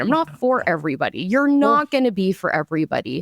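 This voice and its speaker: Her pitch is fairly high and swings very widely. The woman is recorded with a dry, close sound and no echo. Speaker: marketing agency owner. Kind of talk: casual chat. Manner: loud; animated.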